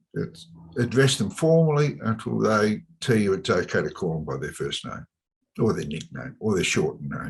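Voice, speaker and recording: A man with a fairly low voice speaks at a moderate pace, his pitch swinging very widely. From Australia, suburban Melbourne. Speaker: chartered accountant and business advisor. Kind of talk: podcast interview. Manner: hesitant, many fillers.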